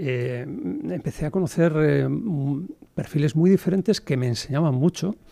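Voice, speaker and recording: Through a dark, mellow tone, a man speaks at a fairly slow pace and fairly high pitch with lively intonation. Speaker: entrepreneur. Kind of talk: podcast interview. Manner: hesitant, many fillers.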